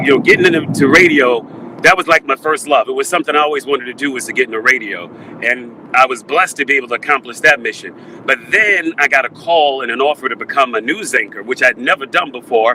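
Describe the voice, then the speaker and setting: Against noticeable background noise, a man with an American accent and a fairly high pitch talks very fast with ordinary pitch variation, the sound dry and close with no echo. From New York, Brooklyn. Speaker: radio and TV news personality. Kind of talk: interview.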